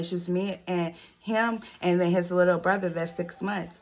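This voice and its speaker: A woman's fairly low voice, with ordinary pitch variation, comes through on a very clean recording with a silent background. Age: 20s. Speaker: vlogger, single mom. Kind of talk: casual vlog talk to camera.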